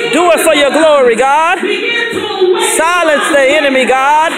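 A woman at a very slow pace over loud music in the background. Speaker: evangelist leading intercessory prayer. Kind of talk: intercessory prayer. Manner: urgent, rhythmic repetition of 'in the name of Jesus'; ecstatic bursts of exclamation and praise. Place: church.

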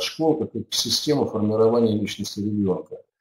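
A man uses an ordinary speaking voice with lively intonation at a moderate pace. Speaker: webinar host, education expert. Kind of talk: webinar presentation and moderation. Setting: online webinar. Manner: formal.

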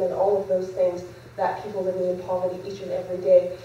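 This woman's voice carries audible room echo, with light background noise as well. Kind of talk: public speech. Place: hall. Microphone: podium.

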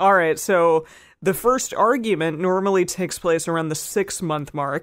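In a very clean recording with a silent background, a woman with a normal speaking voice speaks at a moderate pace and a fairly low pitch. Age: 30s. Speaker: podcast co-host. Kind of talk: casual chat.

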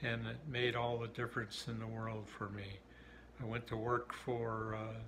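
A man with an Upper Midwest accent speaks at a medium pitch with monotone, flat intonation over noticeable background noise. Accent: Upper Midwest American. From southern Minnesota, USA. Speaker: US Navy submarine veteran. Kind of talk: interview answer. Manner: hesitant, many fillers. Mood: warm, reminiscing. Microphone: phone near.

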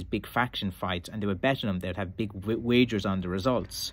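Here a man has a fairly low pitch and ordinary pitch variation. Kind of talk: casual vlog chat. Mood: relaxed, amused. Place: shop. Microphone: phone near.

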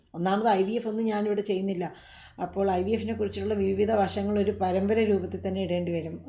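A woman speaks at medium pitch in a warm, dark, mellow tone that is somewhat breathy. Her intonation is monotone and flat, with audible room echo. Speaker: doctor answering viewer questions. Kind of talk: live Q&A. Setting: live stream. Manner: warm, conversational.

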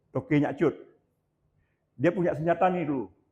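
The voice has a dark, mellow tone, is somewhat breathy, and moves at a fairly quick pace with fairly even intonation. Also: man. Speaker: local historian. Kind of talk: lecture. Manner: halting.

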